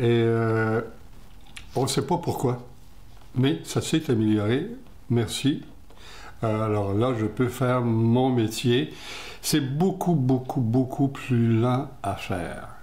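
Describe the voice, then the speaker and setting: Very slow speech from a man at medium pitch, with a dark, mellow tone, ordinary pitch variation, very even loudness, long, frequent pauses, and audible room echo. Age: 80s+. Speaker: retired TV director interviewed about his eye disease. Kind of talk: interview.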